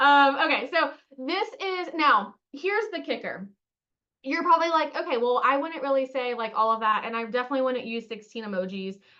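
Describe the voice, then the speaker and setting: A woman with a high-pitched, bright, sharp voice speaks up loudly, projecting. She talks at a fairly quick pace with lively intonation. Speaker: marketing coach. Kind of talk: webinar. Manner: animated.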